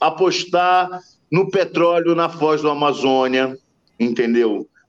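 A man talks at a very slow pace. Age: 50s. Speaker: biologist and climate coalition coordinator. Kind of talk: radio interview. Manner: halting, many repetitions.

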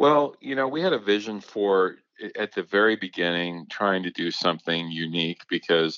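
With lively intonation, a man talks at a moderate pace in a fairly low pitch, an unremarkable speaking voice. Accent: American. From Minnesota. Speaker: nonprofit executive director, rowing organizer. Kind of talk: interview.

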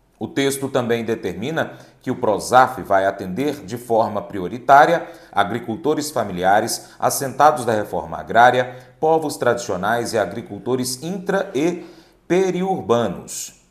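At a fairly slow pace, a man with a medium pitch speaks with very wide pitch swings. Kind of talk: news reading. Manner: formal; steady, measured newsreader pace.

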